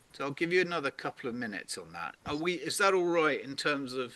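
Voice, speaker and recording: A man with a British accent speaks at a moderate pace in a bright, sharp tone over a quiet background. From Britain. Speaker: purpose workshop facilitator. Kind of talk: interactive online workshop.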